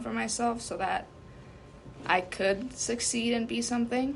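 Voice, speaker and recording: Audible room echo surrounds a woman who talks at a fairly slow pace with lively intonation. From US (came as small child). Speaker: undocumented immigrant interviewee. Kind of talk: interview. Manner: hesitant, many fillers.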